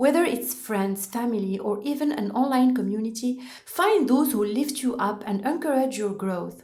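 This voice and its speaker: A woman speaks in a French accent, with a fairly high pitch and lively intonation. Audible room echo and noticeable background noise are present. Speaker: podcast host. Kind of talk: motivational podcast monologue. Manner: carefully prepared, scripted delivery.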